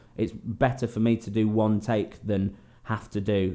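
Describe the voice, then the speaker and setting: A man with an English accent speaks at a fairly low pitch in a dark, mellow tone. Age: 20s. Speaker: singer and guitar YouTuber. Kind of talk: Q&A vlog. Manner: casual, hesitant with many ums.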